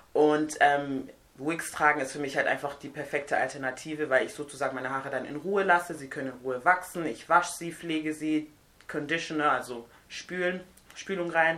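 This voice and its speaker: The speech moves at a fairly quick pace with fairly even intonation and big swings in loudness. Noticeable background noise sits under it. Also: woman, very deep, low pitch for a woman. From Nigeria. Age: 20s. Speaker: hair and beauty guest. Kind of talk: casual chat.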